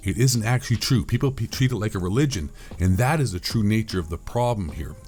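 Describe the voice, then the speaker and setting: A man speaks at a very fast pace with lively intonation and an animated tone. His voice is fairly low-pitched for a man and somewhat breathy. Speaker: conspiracy commentator. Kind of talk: casual monologue rant.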